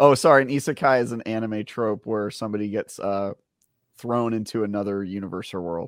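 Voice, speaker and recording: A man speaks in a normal speaking voice at a fairly low pitch with ordinary pitch variation on a very clean recording with a silent background. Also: fairly quick pace. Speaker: podcast co-host.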